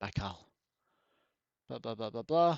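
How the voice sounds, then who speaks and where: A man with an Australian accent, very wide pitch swings and a fairly quick pace. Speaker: VR game streamer. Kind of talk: live gameplay commentary. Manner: casual, conversational.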